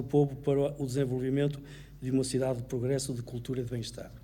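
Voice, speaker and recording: A man's medium-pitched, somewhat breathy voice, dark and mellow, with monotone, flat intonation, a very fast pace, and audible room echo. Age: 70s. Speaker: mayoral candidate, retired solicitor. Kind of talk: political debate. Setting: auditorium with audience, broadcast on radio.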